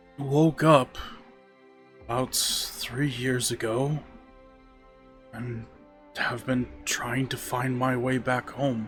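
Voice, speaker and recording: A man's put-on character voice at medium pitch, monotone and flat, at a very slow pace with long, frequent pauses and clear music in the background. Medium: actual play.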